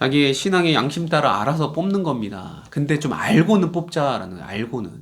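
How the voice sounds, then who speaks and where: Animated and with vocal fry, a man's voice moves through very wide pitch swings. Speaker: pastor. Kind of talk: sermon.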